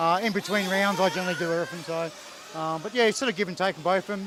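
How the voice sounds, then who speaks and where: Over noticeable background noise, a speaker in an Australian accent talks at a very fast pace. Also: man. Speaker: RC racing team mechanic and parent. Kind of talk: interview.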